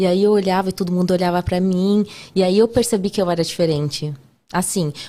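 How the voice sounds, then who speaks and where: A woman's dark, mellow tone at a fairly quick pace, very even in loudness, on a very clean recording with a silent background. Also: medium pitch for a woman, fairly even intonation. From Brazil, São Paulo. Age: 30s. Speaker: podcast guest, nutritionist and TV cooking contestant. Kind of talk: casual interview chat.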